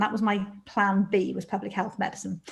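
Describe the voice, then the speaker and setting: Somewhat breathy, a woman with a Welsh accent speaks fairly quickly at a fairly high pitch. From South Wales. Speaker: doctor and medical leader. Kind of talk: webinar interview, personal story. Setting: video call webinar.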